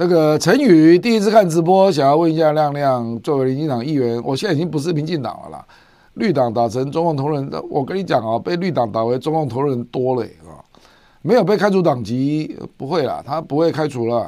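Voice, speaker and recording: Lively intonation over a dark, mellow tone. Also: man, fairly high pitch for a man, fairly quick pace. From Taiwan. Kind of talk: livestream commentary on international politics. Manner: frequent filler particles (啊, 哈).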